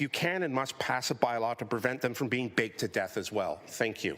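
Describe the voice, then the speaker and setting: Here a man talks at a fairly quick pace with a Canadian accent. Noticeable background noise runs behind him. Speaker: community advocate delegate. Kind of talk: public delegation speech. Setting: council committee meeting. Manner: fast.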